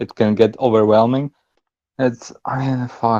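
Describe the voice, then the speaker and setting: At a moderate pace, a man with a non-native accent speaks at medium pitch in a dark, mellow tone with monotone, flat intonation, the sound dry and close with no echo. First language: not English. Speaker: shuffle dancer. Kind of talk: casual chat.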